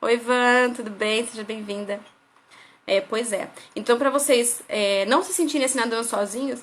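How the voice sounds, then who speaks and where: High-pitched woman at a moderate pace, with ordinary pitch variation and big swings in loudness. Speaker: parenting educator. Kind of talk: live stream lecture. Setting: live stream on Instagram.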